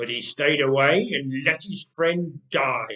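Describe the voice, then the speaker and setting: A man's growling, put-on character voice at a fairly slow pace. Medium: read story.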